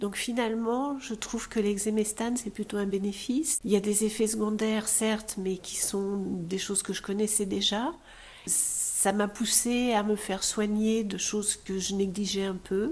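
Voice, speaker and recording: Speaking at a fairly slow pace, a woman with a fairly high pitch and a somewhat breathy voice keeps her intonation fairly even. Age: 60s. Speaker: breast cancer patient. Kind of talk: testimony.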